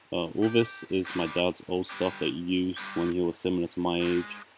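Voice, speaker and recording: Music sounds behind speech delivered at a fairly quick clip. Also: man. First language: not English. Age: 20s. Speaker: beginner guitarist vlogger. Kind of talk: casual voiceover vlog. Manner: halting, hesitant.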